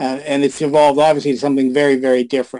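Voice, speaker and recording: A man speaks in an ordinary speaking voice at a fairly quick pace. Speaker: retired adult film actor and director.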